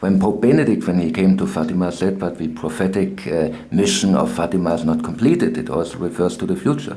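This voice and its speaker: Against noticeable background noise, a man with a very deep, low pitch speaks at a moderate pace with ordinary pitch variation and hardly any pauses. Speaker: interviewer. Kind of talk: interview question.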